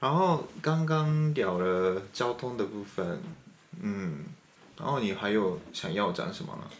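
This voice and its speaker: A man with a Japanese accent at a medium pitch, very slow, with very wide pitch swings, audible room echo and noticeable background noise. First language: Japanese (speaking Chinese). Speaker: radio host. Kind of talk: casual chat.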